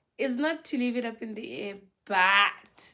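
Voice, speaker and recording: Loud and bright with a sharp tone, a woman speaks at a very slow pace with lively intonation. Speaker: marriage advice vlogger. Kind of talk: casual advice talk to camera. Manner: naturally loud.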